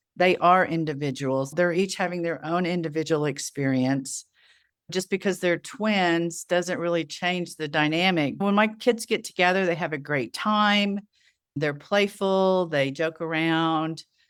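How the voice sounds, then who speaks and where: A woman speaks in an ordinary speaking voice at a fairly low pitch with ordinary pitch variation. Her pace is fairly slow, and the recording is very clean with a silent background. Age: 60s. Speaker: estrangement support group founder and author. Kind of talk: interview conversation.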